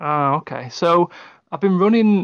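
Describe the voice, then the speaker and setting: The speaker talks at a moderate pace in an English accent. The background is quiet. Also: man. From England. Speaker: tabletop game writer. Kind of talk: casual interview. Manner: halting.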